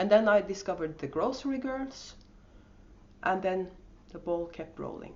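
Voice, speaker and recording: With a strong Norwegian accent, a woman speaks at a medium pitch with lively intonation. Long, frequent pauses break up her speech, and audible room echo surrounds it. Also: moderate pace. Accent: thick Norwegian. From Norway. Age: 50s. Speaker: podcast host and yarn dyer. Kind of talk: casual podcast monologue. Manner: hesitant, with many fillers.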